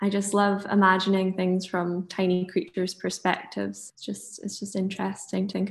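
A somewhat breathy woman with a Dundee accent and monotone, flat intonation, over a quiet background. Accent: Scottish (Dundee). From Scotland, Monifieth near Dundee. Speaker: illustrator. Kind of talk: casual interview.

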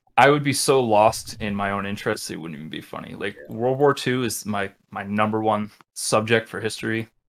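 A man with an ordinary speaking voice and an American accent talks at a fairly quick pace. His pitch is fairly low, with ordinary variation. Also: big swings in loudness. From US, Rhode Island (Westerly). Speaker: metal band vocalist. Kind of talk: casual chat.

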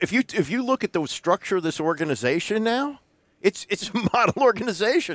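The speaker talks at a fairly quick pace with very wide pitch swings, in a dry, close sound with no echo. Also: man, high pitch for a man. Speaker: sports talk co-host. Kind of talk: casual chat.

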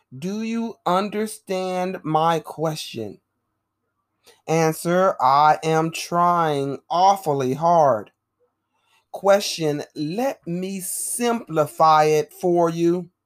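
On a very clean recording with a silent background, a woman speaks at a very slow pace with ordinary pitch variation. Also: fairly low pitch for a woman. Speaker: stenography dictation teacher. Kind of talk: casual chat; dictation reading. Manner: measured dictation pace.

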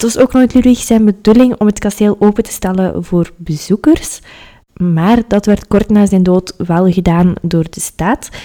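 A woman speaks at a fairly slow pace in a medium pitch, with ordinary pitch variation. Her tone is dark and mellow, and her loudness swings widely. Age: 20s. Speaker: history podcaster. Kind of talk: solo podcast narration.

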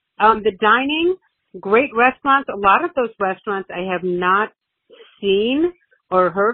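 A woman speaks at a moderate pace with lively intonation. She has a plain, everyday voice. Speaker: host's mother, caller. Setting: phone call.

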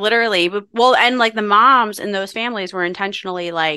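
A woman with a bright, sharp tone and an American accent, against a quiet background. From Philadelphia, US. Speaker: breathwork practitioner, former trial attorney. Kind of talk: casual interview chat.

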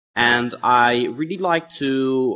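A man at medium pitch with a Dutch accent, on a very clean recording with a silent background. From Netherlands. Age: 20s. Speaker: YouTuber. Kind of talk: interview.

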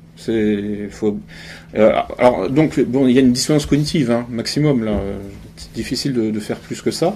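A man's medium-pitched, dark, mellow voice at a moderate pace, with ordinary pitch variation, big swings in loudness, and audible room echo. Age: 40s. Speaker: essayist and conference speaker. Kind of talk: public lecture. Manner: halting, many repetitions.

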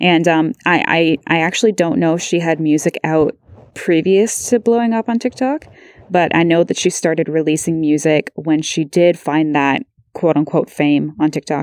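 A woman's ordinary speaking voice with a Canadian accent, fairly low in pitch, with ordinary pitch variation, very even loudness and a moderate pace, in a dry, close sound with no echo. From Ontario, Canada (Beamsville). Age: 20s. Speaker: podcast host. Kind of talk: interview. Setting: remote call.

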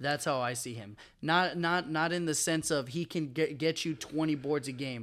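In a very clean recording with a silent background, a man with a normal speaking voice talks at a fairly high pitch and a moderate pace, using ordinary pitch variation. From Texas. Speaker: student and sports fan. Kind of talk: casual chat.

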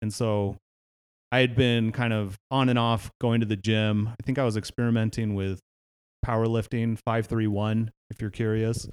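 Monotone, flat intonation in an American accent. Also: man, medium pitch for a man, moderate pace. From Northern California, Palo Alto. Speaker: podcast host, fitness trainer. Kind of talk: casual chat. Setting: home garage gym.

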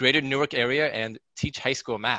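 With an American accent, a bright, sharp tone and fairly even intonation, the voice moves at a moderate pace on a very clean recording with a silent background and a dry, close sound with no echo. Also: man. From US Pacific Northwest, Seattle. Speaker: high school math teacher. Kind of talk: casual interview.

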